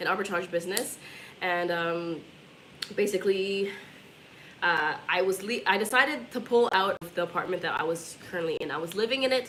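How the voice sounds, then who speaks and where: A woman speaks with ordinary pitch variation against audible room echo and noticeable background noise. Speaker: travel vlogger. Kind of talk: casual chat. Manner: fast.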